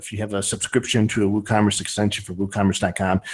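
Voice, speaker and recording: A man talking at a very fast pace in a northern Ohio accent, in a very clean recording with a silent background. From US, northern Ohio. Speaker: podcast host. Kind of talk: casual chat.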